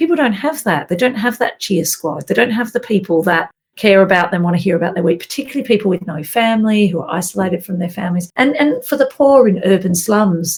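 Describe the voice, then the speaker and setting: Speaking with an Australian accent, a woman with a medium pitch and a somewhat breathy voice moves at a fairly quick pace with lively intonation and hardly any pauses. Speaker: minister. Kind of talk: interview answer.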